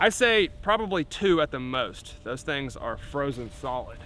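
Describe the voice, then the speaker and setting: A man is speaking. His pitch swings very widely. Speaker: firearms reviewer. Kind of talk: casual video narration. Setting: outdoors. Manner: animated.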